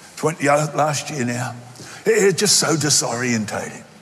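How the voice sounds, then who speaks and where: In an Australian accent, the speaker uses an animated tone at a fairly slow pace. Noticeable background noise runs underneath. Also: man. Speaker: pastor. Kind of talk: sermon. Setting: church.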